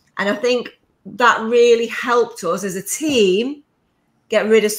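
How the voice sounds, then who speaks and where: A woman with a northern English accent speaks in an animated tone. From northern England. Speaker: entrepreneur, business coach. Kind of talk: podcast interview. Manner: fast.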